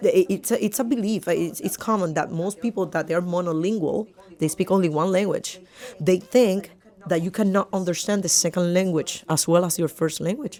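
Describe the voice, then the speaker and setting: Noticeable background noise sits behind a woman with a strong Puerto Rican accent. Her tone is animated, her pitch medium, with ordinary pitch variation. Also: moderate pace. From Puerto Rico. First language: Spanish. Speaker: podcast guest. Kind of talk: casual interview. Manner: halting with repetitions.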